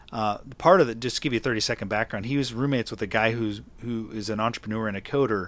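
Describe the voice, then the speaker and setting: The speech is mumbled at a very fast pace. Intonation stays fairly even. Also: man. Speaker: podcast host and writer. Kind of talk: casual interview chat. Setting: remote interview from Seattle. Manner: fast talker, mumbler.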